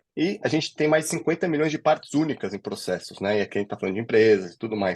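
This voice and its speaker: A man at a very fast pace, with ordinary pitch variation, over a quiet background. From São Paulo, Brazil. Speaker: legal director of a legal tech company. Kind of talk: interview conversation.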